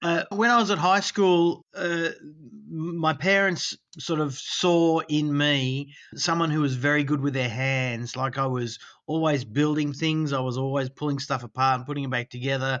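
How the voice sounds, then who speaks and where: This voice moves at a moderate pace. It carries an Australian accent. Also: man, fairly high pitch for a man, ordinary pitch variation. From Australia, Sydney. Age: 60s. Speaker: dental technician. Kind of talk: interview.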